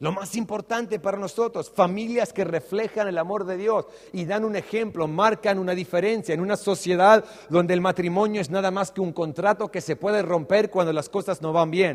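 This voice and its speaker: A man's high-pitched voice amid noticeable background noise. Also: fairly even intonation, moderate pace. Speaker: pastor. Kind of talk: sermon.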